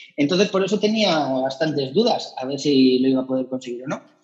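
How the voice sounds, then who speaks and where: This is a man with a normal speaking voice and a fairly high pitch. He talks at a moderate pace with ordinary pitch variation. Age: 40s. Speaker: amateur runner. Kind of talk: casual interview chat.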